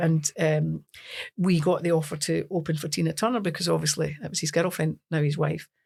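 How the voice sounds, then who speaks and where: A woman with a Scottish accent speaks at fairly low pitch with vocal fry, fairly even intonation and a moderate pace, on a very clean recording with a silent background. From Scotland, Lanarkshire. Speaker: singer. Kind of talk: casual chat.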